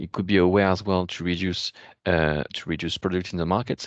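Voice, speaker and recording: A man's very deep, low voice with a French accent, flat and monotone, at a fairly quick pace, with a dry, close sound, no echo and a quiet background. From France. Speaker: policy expert. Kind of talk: webinar Q&A answer. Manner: halting, many fillers.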